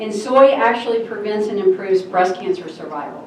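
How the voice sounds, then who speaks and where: With noticeable background noise, a woman of medium pitch talks at a fairly quick pace and with ordinary pitch variation. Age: 60s. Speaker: doctor giving a health talk. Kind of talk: lecture.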